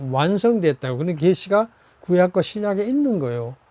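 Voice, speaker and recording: A man talks at a high pitch in a dark, mellow tone. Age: 80s+. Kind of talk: sermon. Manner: halting; animated.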